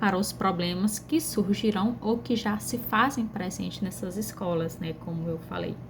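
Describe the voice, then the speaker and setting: A woman speaks at a fairly slow pace in a northeastern Brazilian accent. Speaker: pedagogy student. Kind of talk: class presentation video. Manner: conversational, frequent fillers.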